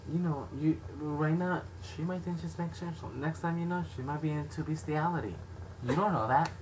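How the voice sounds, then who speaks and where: Lively intonation at a moderate pace, with noticeable background noise and audible room echo. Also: man, fairly high pitch for a man. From Mexican background. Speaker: video blogger. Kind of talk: casual chat. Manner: loud.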